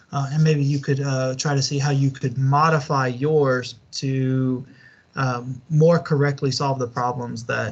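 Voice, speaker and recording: A man with a Southern US accent, somewhat breathy, in monotone, flat intonation against a quiet background. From US Deep South. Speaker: university lecturer. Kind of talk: online lecture. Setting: online class video call. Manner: halting, many fillers.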